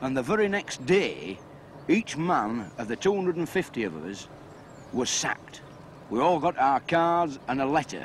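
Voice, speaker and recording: Speaking in a Yorkshire accent, a man talks at a moderate pace with very wide pitch swings. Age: 30s. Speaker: dye house worker. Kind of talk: interview.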